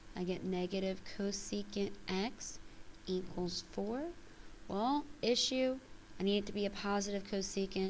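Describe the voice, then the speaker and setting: Moderate-paced speech from a woman at medium pitch, ordinary pitch variation and audible room echo. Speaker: math teacher. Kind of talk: tutorial.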